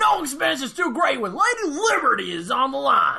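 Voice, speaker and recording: A put-on character voice, high in pitch. The pace is moderate. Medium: audio drama. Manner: loud, barking, bombastic.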